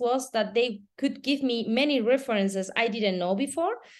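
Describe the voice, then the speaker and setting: A woman speaks in a Spanish accent at a moderate pace. Her pitch is fairly high. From Spain. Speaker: entrepreneur, children's footwear founder. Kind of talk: casual chat.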